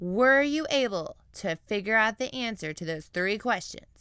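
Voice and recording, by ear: Reading aloud in a natural voice, full of lively intonation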